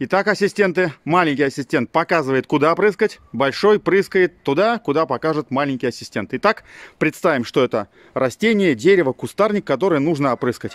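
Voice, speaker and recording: A man's lively intonation at a fairly quick pace, with a dry sound with no echo and a quiet background. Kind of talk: tutorial. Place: garden. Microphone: phone near.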